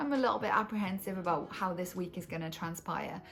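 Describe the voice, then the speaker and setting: Music plays in the background. The speaker, in a Welsh accent, talks at a fairly quick pace. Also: woman. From Cardiff, Wales. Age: 30s. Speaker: English teacher. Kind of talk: casual vlog narration.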